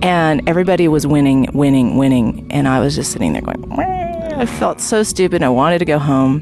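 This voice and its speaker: A woman speaks with a very deep, low pitch and lively intonation. Music plays in the background. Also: fairly quick pace, hardly any pauses. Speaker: podcast interviewer. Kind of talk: casual interviews. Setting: outdoors.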